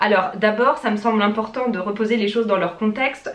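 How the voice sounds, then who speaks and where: Amid noticeable background noise, a woman speaks at a moderate pace with a fairly high pitch. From France. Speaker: vlogger. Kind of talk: casual vlog talk to camera.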